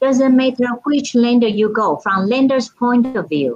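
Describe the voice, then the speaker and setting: With a Taiwanese accent, a woman speaks at a fairly slow pace. Her pitch is fairly high and her intonation lively. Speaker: title company escrow officer. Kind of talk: casual interview chat. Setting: video call.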